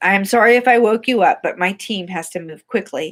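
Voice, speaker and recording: At a fairly quick pace, a put-on character voice that sounds female comes out raspy at a medium pitch. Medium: read story. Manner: hearty, brash.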